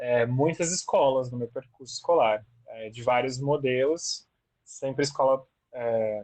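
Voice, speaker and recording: At a fairly slow pace, a man with an unremarkable speaking voice and medium pitch keeps his intonation fairly even while his loudness swings widely. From moved around Brazil; born Rio Grande do Sul, teens in Campo Grande. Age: 30s. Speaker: teacher. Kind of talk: oral history interview.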